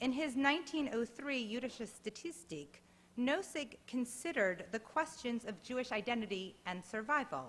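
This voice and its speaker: Lively intonation at a moderate pace. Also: woman, high pitch for a woman. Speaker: historian. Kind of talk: lecture. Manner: formal.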